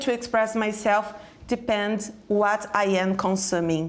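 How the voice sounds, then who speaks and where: In a Brazilian Portuguese accent, a woman speaks at a medium pitch with fairly even intonation. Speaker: educator and speaker. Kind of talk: panel discussion. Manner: halting.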